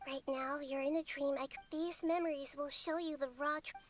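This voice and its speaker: In a put-on character voice, a female-sounding speaker uses a high pitch and a gentle tone at a moderate pace. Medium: video game. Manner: gentle, earnest.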